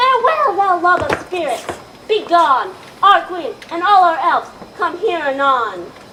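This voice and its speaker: An extremely high-pitched put-on character voice over clear background noise. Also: moderate pace. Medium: stage play.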